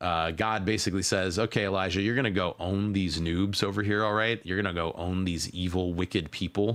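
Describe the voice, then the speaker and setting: Using fairly even intonation, a man speaks at a very deep, low pitch. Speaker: livestream host. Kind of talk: casual livestream commentary. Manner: halting, many fillers.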